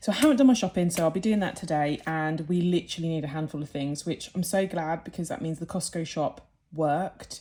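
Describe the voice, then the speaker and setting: A woman talks at a very fast pace. Her fairly low voice has a dark, mellow tone and ordinary pitch variation. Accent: British. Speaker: budgeting vlogger. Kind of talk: casual vlog talk.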